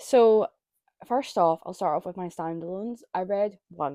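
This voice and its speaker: At a moderate pace, a woman talks with a Scottish accent. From Scotland. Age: 20s. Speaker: book reviewer. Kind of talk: casual monologue. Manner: casual with many fillers.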